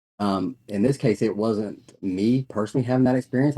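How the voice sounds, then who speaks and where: In a Southern US accent, a man with a fairly low pitch and a dark, mellow tone talks at a fairly quick pace with ordinary pitch variation. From North Carolina. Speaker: network marketing business owner. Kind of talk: casual interview.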